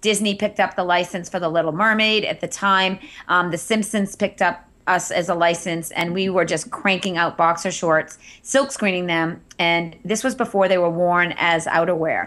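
The voice has an American accent and a bright, sharp tone. It moves at a moderate pace. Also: woman, fairly low pitch for a woman, fairly even intonation, very clean recording, silent background. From Massachusetts (Andover). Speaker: entrepreneur and Instagram marketing teacher. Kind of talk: interview.

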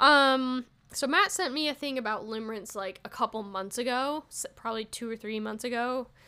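A woman's animated, high-pitched voice with lively intonation at a moderate pace, on a very clean recording with a silent background. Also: big swings in loudness. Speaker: solo comedy podcast host. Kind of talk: casual solo monologue. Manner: loud.

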